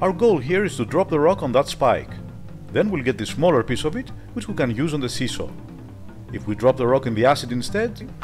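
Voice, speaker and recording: Music behind a man of medium pitch, lively intonation and a fairly quick pace. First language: Greek. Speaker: retro game reviewer. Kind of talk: game review voice-over. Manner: casual, humorous.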